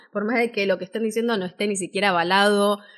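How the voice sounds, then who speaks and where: A woman with an Argentine accent talks at a medium pitch. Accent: Rioplatense Argentine Spanish. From Argentina, Buenos Aires. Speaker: voice-over artist and speaking teacher. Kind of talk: live-stream workshop talk. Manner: animated.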